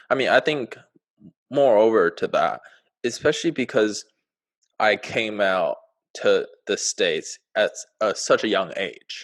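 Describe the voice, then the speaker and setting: With a Chinese accent, a man talks at a fairly slow pace with long, frequent pauses over a quiet background. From China. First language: Mandarin. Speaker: podcast co-host. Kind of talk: casual chat. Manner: halting.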